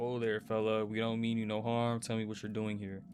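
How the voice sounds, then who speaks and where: With clear background noise behind him, a man puts on a character voice at a medium pitch, speaking at a fairly quick pace in a monotone, flat intonation. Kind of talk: folksy, casual. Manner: friendly, soothing.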